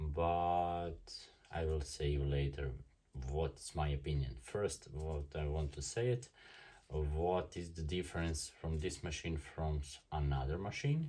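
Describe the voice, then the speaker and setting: Speaking at a fairly slow pace, a man with a very deep, low pitch has a dark, mellow tone that is somewhat breathy. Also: ordinary pitch variation. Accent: non-native. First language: German. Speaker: tattoo artist reviewing equipment. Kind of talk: product review and unboxing. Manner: halting, many fillers.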